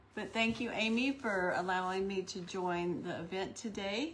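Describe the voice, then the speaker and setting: A woman speaks at a fairly slow pace with a medium pitch and a somewhat breathy sound. Room echo is audible. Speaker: craft livestream host. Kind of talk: live demonstration. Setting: online livestream. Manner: gets quiet when concentrating.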